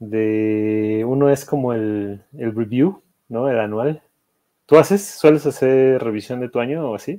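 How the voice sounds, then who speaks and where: A man talks at a fairly slow pace with a dark, mellow tone and medium pitch. His pitch varies in an ordinary way against a quiet background. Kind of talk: casual chat. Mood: relaxed, joking. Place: home room. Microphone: video call.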